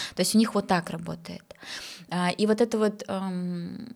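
The voice is somewhat breathy with fairly even intonation, captured in a very clean recording against a silent background. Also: woman. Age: 30s. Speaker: psychologist and sexologist, podcast host. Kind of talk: casual chat.

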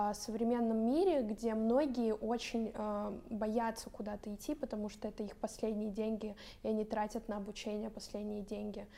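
Her tone dark and mellow, a woman speaks at a moderate pace with a fairly high pitch and monotone, flat intonation. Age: 20s. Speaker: pastry school owner and blogger. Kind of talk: talk show conversation.

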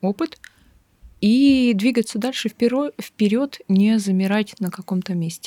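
Here a woman uses an unremarkable speaking voice with ordinary pitch variation, in a dry, close sound with no echo and a very clean recording with a silent background. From Siberia, Irkutsk region (Bratsk). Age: 30s. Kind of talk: therapy consultation.

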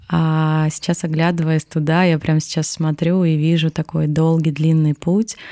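Very slowly, a woman speaks at a very deep, low pitch in a dark, mellow tone with monotone, flat intonation. The sound is dry and close, with no echo. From Irkutsk region, Siberia, Russia. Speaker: entrepreneur and coach. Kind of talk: casual interview chat.

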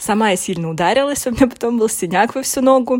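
Speaking at a fairly quick pace, a woman is heard in a dry, close recording with no echo. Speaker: podcast host. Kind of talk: personal monologue. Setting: recording inside a wardrobe at home. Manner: halting, searching for words.

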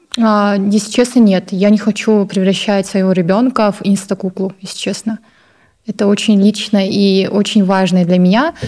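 A woman's medium-pitched voice with a dark, mellow tone, monotone, flat intonation and a moderate pace. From Kazakhstan, Baikonur. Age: young. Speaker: fashion blogger and model. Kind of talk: Q&A video interview.

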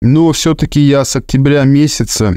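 A man speaks in a dark, mellow tone. His pace is moderate, against a quiet background. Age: 40s. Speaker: driver sharing weight-loss story. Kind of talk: personal testimony.

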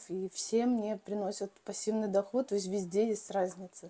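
Her intonation fairly even, a woman speaks at a moderate pace and medium pitch in a dark, mellow tone. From Belarus. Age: 40s. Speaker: real estate agent and developer. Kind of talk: casual interview.

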